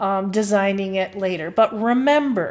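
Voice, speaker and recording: Fairly high-pitched with ordinary variation, a woman speaks with a slight Midwestern accent. The recording is very clean, with a silent background. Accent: slight Midwest twang. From US Midwest. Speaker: marketing professor. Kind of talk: lecture. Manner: casual with filler words.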